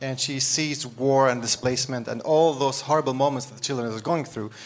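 With an Arabic accent, a man speaks at medium pitch with fairly even intonation and hardly any pauses, over noticeable background noise. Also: big swings in loudness. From Syria. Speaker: author and social entrepreneur. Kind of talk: live interview. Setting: stage with audience. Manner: laughs often.

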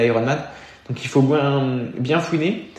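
Room echo can be heard around the voice. A man delivers his words at a moderate pace, his intonation fairly even. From eastern France (Burgundy/Beaujolais). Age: 20s. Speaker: triathlete. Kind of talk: interview.

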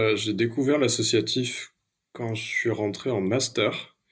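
The speaker, a man, is somewhat breathy. His delivery is very slow. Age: 30s. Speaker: ecological transition consultant and rail cooperative board member. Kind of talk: interview. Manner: hesitant, many fillers.

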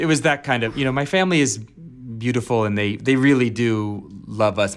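A plain, everyday voice from a man with an American accent, lively in intonation and moderate in pace. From Virginia, US (Alexandria). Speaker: actor. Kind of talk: casual chat. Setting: video call.

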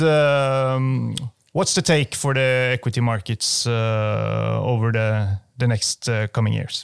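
A man with a Norwegian accent talks at a very slow pace. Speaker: podcast host. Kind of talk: interview. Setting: studio.

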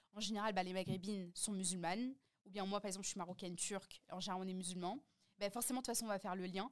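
A woman rattles along at a very fast pace in a medium pitch with fairly even intonation. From France. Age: 20s. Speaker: podcast host and content creator. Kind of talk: casual chat.

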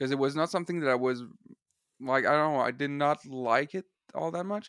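A man with a Quebec accent speaks in a fairly high pitch with ordinary pitch variation, in a dry, close sound with no echo. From Eastern Quebec. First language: French. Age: 20s. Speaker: singer-songwriter. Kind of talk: casual chat. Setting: video call. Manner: halting.

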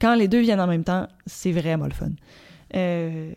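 A woman's voice has a fairly low pitch. Its tone is dark and mellow. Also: very clean recording, silent background. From Quebec, Gaspésie (Petite-Vallée). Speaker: singer-songwriter. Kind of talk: interview. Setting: rehearsal space. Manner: halting, with many fillers and repeats.

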